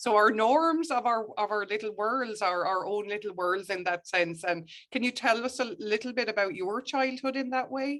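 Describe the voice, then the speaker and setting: A woman with an Irish accent, fairly high pitch and lively intonation, at a moderate pace with hardly any pauses. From Ireland. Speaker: historian, professor. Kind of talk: interview.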